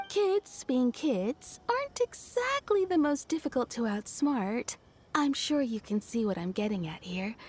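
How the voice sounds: A woman puts on a cartoonish character voice, high-pitched with big swings in pitch, a slightly mellow tone and a slightly husky edge, at a fairly slow pace.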